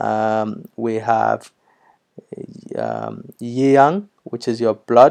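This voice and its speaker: This man has a dark, mellow tone at a medium pitch, with ordinary pitch variation. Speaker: language teacher. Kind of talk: tutorial. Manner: hesitant, many fillers.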